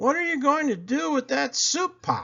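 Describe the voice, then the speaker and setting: A man talks in a put-on character voice at an extremely high pitch. His pace is moderate. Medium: read story.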